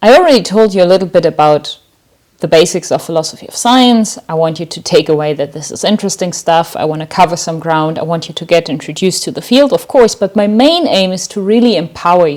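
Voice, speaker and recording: Her fairly low pitch rides lively intonation as this woman talks at a fairly quick pace, her loudness swinging widely. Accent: German. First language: German. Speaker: university lecturer. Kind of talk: lecture. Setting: online lecture recording.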